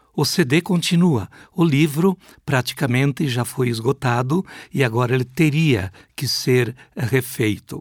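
A man talks at a fairly slow pace with lively intonation and a somewhat breathy sound. The recording is dry and close, with no echo. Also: medium pitch for a man. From Brazil, Rio Grande do Sul (Passo Fundo). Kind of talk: interview.

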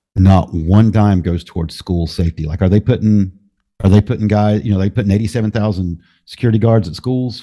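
At a fairly quick pace, the voice has a dark, mellow tone and ordinary pitch variation on a very clean recording with a silent background. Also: man, fairly low pitch for a man. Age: 50s. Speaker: podcaster. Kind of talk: casual conversation.

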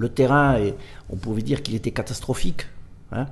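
A somewhat breathy man's voice at medium pitch and moderate pace. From Corsica. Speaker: football club general manager. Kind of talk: studio interview. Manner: halting.

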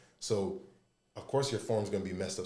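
A man's fairly low-pitched voice with ordinary pitch variation and audible room echo. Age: 30s. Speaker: former college basketball player. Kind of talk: casual chat.

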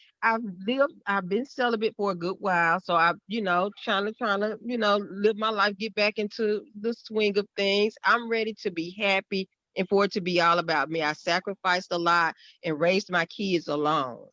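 Bright, sharp tone with a Southern US accent, at a moderate pace, in a dry, close sound with no echo. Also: woman, medium pitch for a woman, ordinary pitch variation. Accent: Southern US, noticeable twang. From Mississippi. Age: 50s. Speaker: guest discussing dating experiences. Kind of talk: casual panel conversation.

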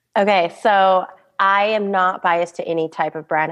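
A woman speaks over a quiet background. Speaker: wedding photographer. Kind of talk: interview podcast.

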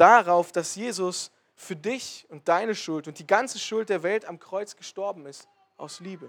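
Here a man with a high pitch speaks at a fairly slow pace, with ordinary pitch variation. His loudness swings widely. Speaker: lay preacher and historian. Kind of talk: sermon. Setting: church service.

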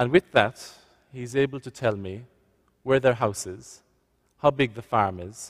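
A man with a West Cork accent is heard on a very clean recording with a silent background. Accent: West Cork Irish. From West Cork, Ireland. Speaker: visiting priest giving a homily. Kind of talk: sermon.

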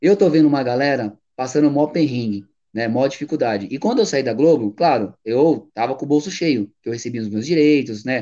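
This man has a dark, mellow tone and a fairly high pitch. He talks at a fairly quick pace with lively intonation. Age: 30s. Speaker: radio presenter. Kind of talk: casual interview.

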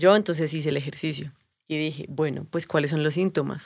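A woman's voice with ordinary pitch variation. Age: 30s. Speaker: stand-in co-host. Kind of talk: casual chat.

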